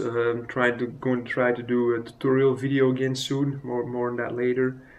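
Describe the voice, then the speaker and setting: Speaking at medium pitch with a non-native accent, a man keeps a monotone, flat intonation. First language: not English. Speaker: miniature painting vlogger. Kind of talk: casual vlog. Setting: recorded on phone. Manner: halting, many fillers. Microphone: phone recording.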